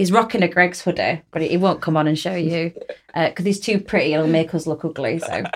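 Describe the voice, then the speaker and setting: Her voice is fairly low in pitch, with fairly even intonation. This woman speaks at a fairly quick pace. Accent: South Yorkshire. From Rotherham, South Yorkshire. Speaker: podcast host, arts project lead. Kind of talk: casual chat.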